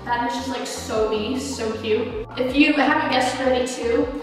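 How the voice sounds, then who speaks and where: Over clear background music and strong room echo, a woman speaks in a high pitch. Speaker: vlogger. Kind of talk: casual vlog chat. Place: home room.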